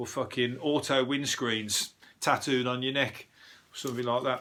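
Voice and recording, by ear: In a Birmingham accent, a man at medium pitch speaks at a moderate pace with fairly even intonation and a bright, sharp tone. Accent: Birmingham (Brummie).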